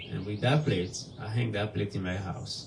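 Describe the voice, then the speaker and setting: A man with a West African accent speaks at a fairly slow pace in a fairly low pitch, his voice showing vocal fry over audible room echo. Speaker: nonprofit executive director, guest speaker. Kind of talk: sermon-style testimony. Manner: halting, with fillers.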